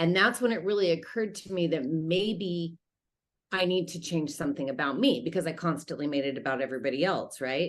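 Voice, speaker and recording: Talking at a fairly quick pace, a woman with an American accent uses a normal speaking voice, fairly low in pitch, with lively intonation. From Utah, US. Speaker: life coach. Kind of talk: interview testimony.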